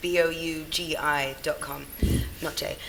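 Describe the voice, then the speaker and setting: A woman speaks with a British accent. Noticeable background noise runs underneath. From England, Sudanese family. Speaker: brand consultant and founder. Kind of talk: panel discussion. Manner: hesitant, many fillers.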